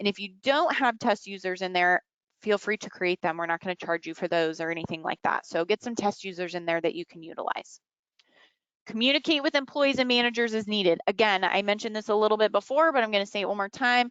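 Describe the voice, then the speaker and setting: Against a quiet background, a woman speaks at a very fast pace, the sound dry with no echo. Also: lively intonation. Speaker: software implementation manager and trainer; trainer. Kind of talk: tutorial. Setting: webinar. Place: home room. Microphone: webcam.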